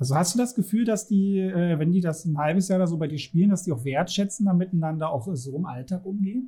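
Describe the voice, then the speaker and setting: Speaking at a very fast pace with hardly any pauses, a man uses a high pitch and ordinary pitch variation. His tone is dark and mellow. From Germany. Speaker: podcast host, game master and educator. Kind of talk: casual interview chat.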